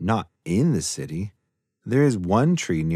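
In a quiet background, someone reads aloud in a natural voice.

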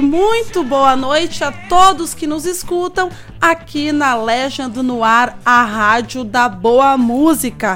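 With music in the background, a woman speaks very slowly at a high pitch, her intonation lively and hardly any pauses. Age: 30s. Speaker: radio host. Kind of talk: live radio show.

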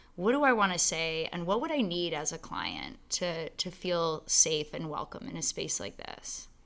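Heard on a very clean recording with a silent background, a woman with a plain, everyday voice speaks at a fairly low pitch with lively intonation and hardly any pauses. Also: moderate pace. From Canada, Ontario (London). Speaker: fitness studio owner. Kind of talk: casual interview.

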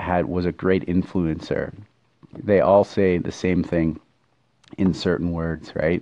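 A man speaks at a fairly slow pace. His pitch is very deep and low. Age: 30s. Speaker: podcaster. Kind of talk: casual monologue. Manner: hesitant, many fillers.

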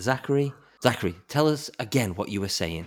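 At a fairly quick pace, a man with a plain, everyday voice speaks using lively intonation. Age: 30s. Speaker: podcast co-host. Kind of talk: casual chat.

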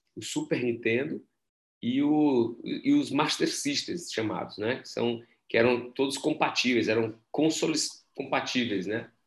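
Medium in pitch, a man talks at a fairly slow pace with an unremarkable speaking voice. The background is quiet. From Brazil. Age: 40s. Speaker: entrepreneurship professor and startup mentor. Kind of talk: casual interview.

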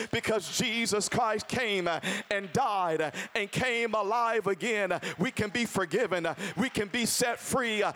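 Over noticeable background noise, a man speaks in a raised, projected voice with a high pitch and an animated tone, his loudness very even and his pitch varying in an ordinary way. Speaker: preacher. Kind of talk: sermon. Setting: church. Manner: loud, call-and-response preaching.

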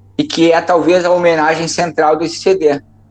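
A man speaks at a high pitch and a moderate pace. Noticeable background noise is present. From southern Brazil. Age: 40s. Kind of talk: interview.

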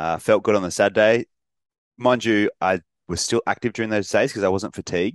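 With ordinary pitch variation, a man talks in an Australian accent. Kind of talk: casual chat.

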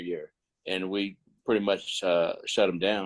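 A man with an American accent talks over a quiet background, the sound dry and close with no echo. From Northern California (Stockton). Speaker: former high school football player, Air Force veteran. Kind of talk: interview. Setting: remote call.

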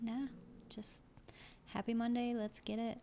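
A fairly slow, somewhat breathy voice with a dark, mellow tone. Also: woman. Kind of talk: casual chat.

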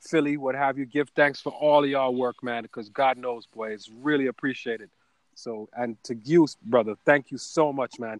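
A man with a Caribbean accent, medium pitch and fairly even intonation, moderate pace, big swings in loudness, and a dry, close sound with no echo. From Caribbean community. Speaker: ad agency owner and voice-over artist. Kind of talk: interview.

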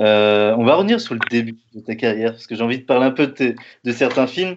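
A man talks at a moderate pace and medium pitch in an unremarkable speaking voice. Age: 30s. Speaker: podcast host. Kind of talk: interview.

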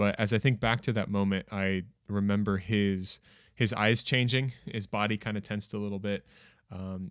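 With a plain, everyday voice and an American accent, a man speaks at a moderate pace with fairly low pitch and ordinary pitch variation on a very clean recording with a silent background. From United States. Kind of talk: casual chat.

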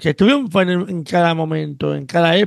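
A man is speaking. The sound is dry and close with no echo. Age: 50s. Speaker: podcast host. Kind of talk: casual chat.

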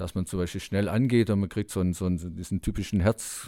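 On a very clean recording with a silent background, a man speaks in a dark, mellow tone. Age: 60s. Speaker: Paralympic cyclist. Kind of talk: interview.

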